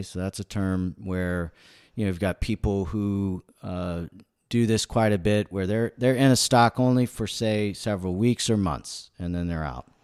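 A man speaks slowly, at a fairly slow pace, in a very deep, low voice with ordinary pitch variation. The sound is dry and close with no echo, on a very clean recording with a silent background. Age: 50s. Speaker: physician and stock investor. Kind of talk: interview. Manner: halting, many fillers.

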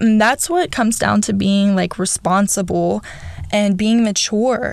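Here a woman speaks at a fairly high pitch. Her pace is fairly slow and her intonation fairly even. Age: 20s. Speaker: podcast host, former sex worker. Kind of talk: casual solo monologue.

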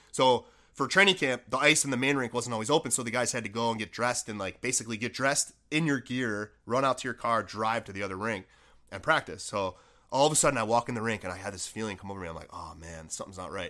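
A very fast-talking man at medium pitch, bright and sharp in tone, with ordinary pitch variation, in a very clean recording over a silent background. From Buffalo, New York. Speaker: former pro hockey player and business owner. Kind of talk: casual chat.

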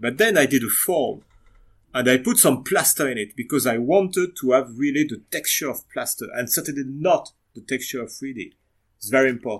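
A man of medium pitch speaks with a French accent at a fairly quick pace. His intonation is lively, and his loudness swings widely. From western France. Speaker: diorama modeler. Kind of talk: interview. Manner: halting.

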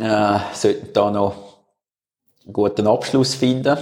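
Very slowly and with fairly even intonation, a man speaks in a Swiss accent. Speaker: podcast co-host, former mountain biker. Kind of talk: casual chat. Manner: hesitant, many fillers.

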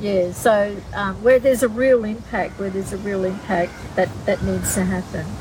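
A woman talks at a medium pitch with fairly even intonation and hardly any pauses. Noticeable background noise sits behind her. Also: moderate pace. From Alice Springs, Northern Territory, Australia. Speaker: pastor. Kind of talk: interview. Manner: halting.

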